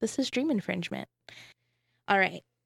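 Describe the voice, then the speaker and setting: In an unremarkable speaking voice, a woman talks at a medium pitch with lively intonation, in a very clean, dry, close recording with a silent background and no echo. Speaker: community radio host. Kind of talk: casual chat. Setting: radio studio.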